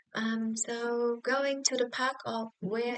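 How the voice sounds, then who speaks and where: A woman speaks with a Vietnamese accent. Her intonation is monotone and flat. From southern Vietnam, Bac Lieu. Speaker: social work student. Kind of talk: class presentation vlog. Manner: halting, many fillers.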